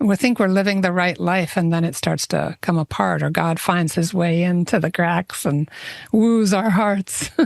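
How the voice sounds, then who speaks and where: In a normal speaking voice, a woman talks at a moderate pace with a fairly low pitch, ordinary pitch variation and very even loudness, in a dry, close sound with no echo. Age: 60s. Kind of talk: casual chat.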